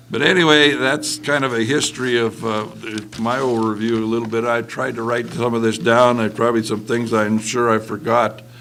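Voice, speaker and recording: With fairly even intonation, a man speaks at a moderate pace as noticeable background noise carries on. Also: medium pitch for a man. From western Montana. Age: 70s. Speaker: retired mill worker and union member. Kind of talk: panel discussion. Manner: halting.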